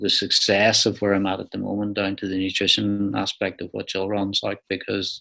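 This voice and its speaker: Talking at a fairly quick pace, a man with a fairly low pitch speaks in an Irish accent. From Ireland. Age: 60s. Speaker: ultra cyclist. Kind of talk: interview.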